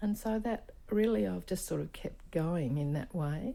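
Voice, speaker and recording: A woman talks with an Australian accent. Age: 70s. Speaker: performance artist. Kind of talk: interview. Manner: halting.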